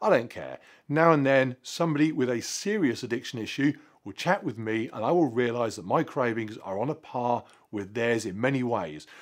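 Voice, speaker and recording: A man at a medium pitch and moderate pace, with lively intonation and a quiet background. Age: 40s. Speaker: fitness vlogger. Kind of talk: vlog monologue to camera. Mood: earnest, reflective. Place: garage.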